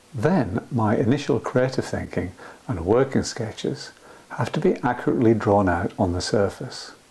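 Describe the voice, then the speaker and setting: A man at medium pitch with lively intonation and a moderate pace, over noticeable background noise. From Scotland. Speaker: painter and art tutor. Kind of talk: art tutorial trailer narration.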